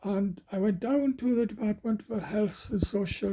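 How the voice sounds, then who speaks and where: A man with a Welsh accent and a dark, mellow tone at a moderate pace. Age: 70s. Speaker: retired coal miner. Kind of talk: casual talk to camera.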